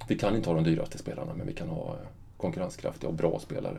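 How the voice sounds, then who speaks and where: With very wide pitch swings, a man rattles along at a very fast pace. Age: 50s. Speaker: football club director. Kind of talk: interview. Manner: halting.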